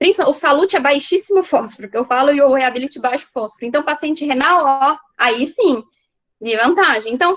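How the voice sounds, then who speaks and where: A woman talks fairly quickly in a high voice with lively intonation. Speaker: veterinarian lecturer. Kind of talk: lecture. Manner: casual.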